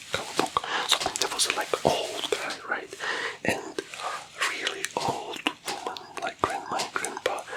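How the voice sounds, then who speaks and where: A man whispers fairly slowly while noticeable background noise carries on behind him. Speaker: ASMR creator playing a financial advisor. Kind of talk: ASMR roleplay, soft-spoken storytelling. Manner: soft-spoken, whispery, friendly.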